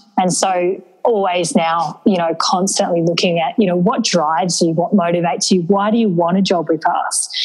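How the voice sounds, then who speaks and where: A woman's fairly low voice at a moderate pace with hardly any pauses and very even loudness, over noticeable background noise. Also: fairly even intonation. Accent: Australian. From rural New South Wales, Australia. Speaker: charity founder and CEO. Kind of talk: interview.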